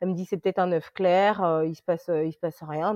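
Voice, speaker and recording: A woman speaks with a fairly low pitch and ordinary pitch variation. The sound is dry and close with no echo, and the background is quiet. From France, moved from Congo as a small child. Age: 30s. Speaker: insurance claims adjuster and mother. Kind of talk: casual interview, personal testimony. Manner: hesitant, many fillers and repetitions.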